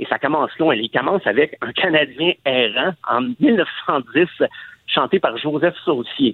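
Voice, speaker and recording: A man with a normal speaking voice and fairly high pitch talks at a fairly slow pace with ordinary pitch variation. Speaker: music content producer. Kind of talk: radio interview.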